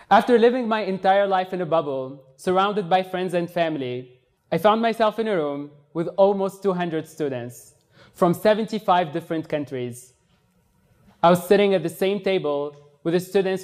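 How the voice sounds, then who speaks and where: At a moderate pace, a man with a high-pitched voice speaks with ordinary pitch variation. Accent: Tunisian. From Tunisia. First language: Tunisian Arabic. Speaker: exchange student, speaker. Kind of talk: TED-style talk.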